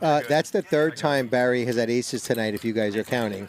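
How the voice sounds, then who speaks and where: Man with a Brooklyn accent, medium pitch, ordinary pitch variation and a moderate pace. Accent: New York (Brooklyn). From Brooklyn, New York. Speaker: poker commentator. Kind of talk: live commentary. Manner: animated.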